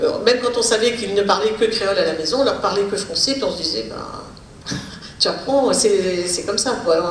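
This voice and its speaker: Speaking at a moderate pace with a fairly high pitch and ordinary pitch variation, a woman is heard amid noticeable background noise and audible room echo. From Réunion, arrived from Pondicherry aged 4. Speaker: speech therapist and linguist. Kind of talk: Q&A after lecture. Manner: hesitant, many fillers.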